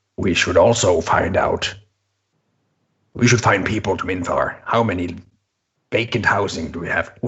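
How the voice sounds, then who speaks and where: A put-on, robotic character voice from a man, fairly low in pitch, at a moderate pace with fairly even intonation and long, frequent pauses. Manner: distorted, robot-like.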